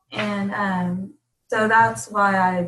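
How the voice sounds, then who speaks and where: A woman talks at a medium pitch with a somewhat breathy quality. Her intonation stays fairly even. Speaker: fitness coach. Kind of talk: casual chat.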